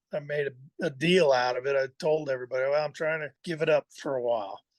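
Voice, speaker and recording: Speaking very fast with an American accent, a man with a fairly high pitch keeps his intonation fairly even, in a dry, close sound with no echo. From Southern California, Burbank. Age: 60s. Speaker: artist and blacksmith. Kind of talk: podcast interview. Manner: casual, halting with fillers and repeats.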